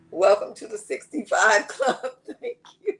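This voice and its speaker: This is a woman speaking. Music plays in the background. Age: 60s. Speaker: online seller. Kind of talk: live stream sales chat.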